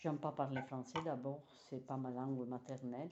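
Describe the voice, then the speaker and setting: A woman with an Italian accent speaks at a very deep, low pitch, her tone dark and mellow and her intonation fairly even. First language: Italian (speaking French). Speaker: knitting teacher. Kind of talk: tutorial. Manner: halting.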